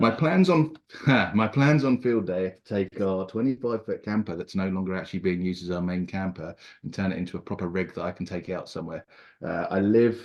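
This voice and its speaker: A man with an English accent, very deep and low in pitch, at a fairly quick pace with ordinary pitch variation over a quiet background. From England. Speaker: prospective club member, amateur radio operator. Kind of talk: self-introduction at a club meeting.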